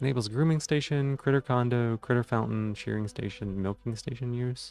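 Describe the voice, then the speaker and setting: Over music in the background, someone speaks at a fairly quick pace with fairly even intonation. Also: man, medium pitch for a man. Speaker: streamer. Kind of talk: casual gameplay commentary. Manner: slurring words.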